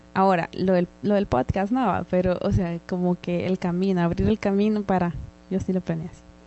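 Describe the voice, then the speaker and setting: The woman has a normal speaking voice, a medium pitch, fairly even intonation and a moderate pace. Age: 30s. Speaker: podcast co-host. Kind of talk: casual chat.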